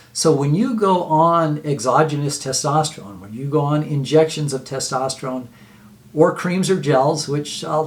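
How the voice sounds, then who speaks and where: A man talks at a moderate pace with fairly high pitch and ordinary pitch variation. Noticeable background noise runs under his voice. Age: 60s. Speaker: health video host. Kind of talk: informal health talk to camera. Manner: halting, many fillers and repeats.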